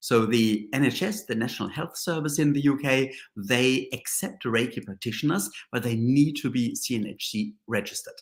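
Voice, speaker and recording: A man speaks with a strong German accent. His pitch sits at a medium level. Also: ordinary pitch variation, moderate pace. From Germany. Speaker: Reiki master and teacher. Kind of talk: live-stream reflective talk. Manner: halting, many fillers.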